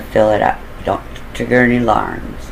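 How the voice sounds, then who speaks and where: A man with an American accent amid noticeable background noise. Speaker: storyteller recounting own crime plans. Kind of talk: casual monologue storytelling. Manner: mumbling at times.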